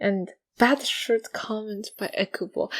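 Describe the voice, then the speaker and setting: The woman talking has a non-native accent. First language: not English. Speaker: podcast co-host. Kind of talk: casual chat. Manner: halting.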